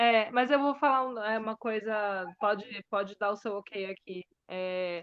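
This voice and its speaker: A woman speaks in a plain, everyday voice, fairly high-pitched, with ordinary pitch variation and a fairly slow pace. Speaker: bilingual teacher. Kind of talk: casual interview chat.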